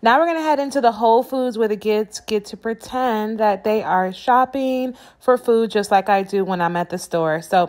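A woman speaks at a moderate pace with hardly any pauses. Her pitch varies normally over a quiet background. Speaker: parent vlogger. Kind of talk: casual vlog chat. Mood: warm, cheerful. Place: hall. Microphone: phone near.

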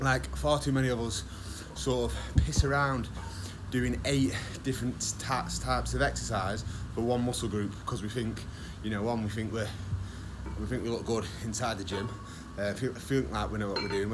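Noticeable background noise surrounds a man who speaks with long, frequent pauses. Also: fairly low pitch for a man, moderate pace. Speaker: fitness coach. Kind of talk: casual advice vlog. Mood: frank, casual, mild swearing. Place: gym. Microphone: phone near.

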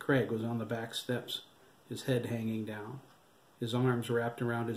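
Someone reads a passage out loud. The reading is plain.

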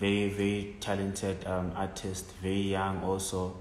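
A man with a very deep, low voice speaks fairly slowly amid audible room echo and light background noise. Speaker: podcast interviewer. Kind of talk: interview host talk. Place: home room.

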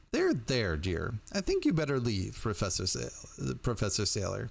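A man does a put-on character voice at a fairly low pitch with vocal fry. He speaks at a moderate pace with very wide pitch swings.

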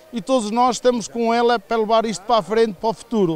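A man's high-pitched voice with fairly even intonation, in a dry sound with no echo. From northern Portugal. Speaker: village association organizer. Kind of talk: interview. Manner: halting. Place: open country. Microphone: handheld.

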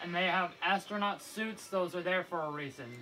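Over clear music in the background, a man talks at a moderate pace in a high pitch with ordinary pitch variation. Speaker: gamer. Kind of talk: casual gameplay commentary. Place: home room. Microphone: phone near.

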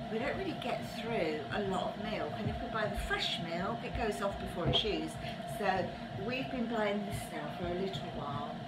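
Loud background noise fills the clip. A woman speaks over it at a moderate pace. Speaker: lifestyle vlogger. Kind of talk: casual vlog chat. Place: home room. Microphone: phone near.

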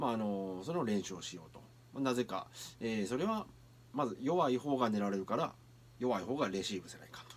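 Speaking with a Kansai accent, a man talks fairly quickly with lively intonation and big swings in loudness. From Kyoto area, Japan; Japan. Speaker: anime reaction youtuber and street performer; anime reaction youtuber. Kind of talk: anime reaction commentary. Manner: animated. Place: home room. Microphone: webcam.

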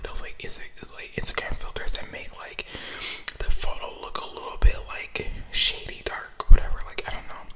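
A man whispers at a moderate pace. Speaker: ASMR creator. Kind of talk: casual vlog chat. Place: car. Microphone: studio mic.

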